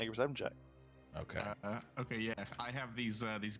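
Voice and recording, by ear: In a natural voice with fairly even intonation, a text is read aloud.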